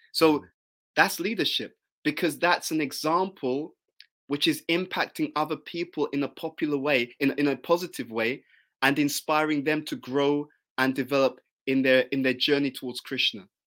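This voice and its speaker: A man with a British accent and a fairly high pitch, fairly even intonation and a moderate pace, on a very clean recording with a silent background. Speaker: spiritual teacher. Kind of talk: interview. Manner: intense.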